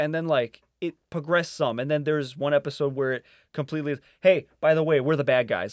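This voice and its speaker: A man speaks in an unremarkable speaking voice, pitched fairly high, with fairly even intonation at a fairly quick pace. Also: dry, close sound with no echo. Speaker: podcast host. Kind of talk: casual chat.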